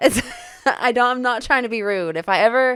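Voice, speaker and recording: At a moderate pace, a woman speaks in a normal speaking voice with ordinary pitch variation. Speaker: married couple podcast co-host. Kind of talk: casual chat.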